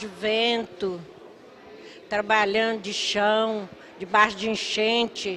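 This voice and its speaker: A woman speaks with a fairly high pitch. Her pace is very slow. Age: 60s. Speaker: school worker. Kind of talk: testimony. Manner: emotional, pleading.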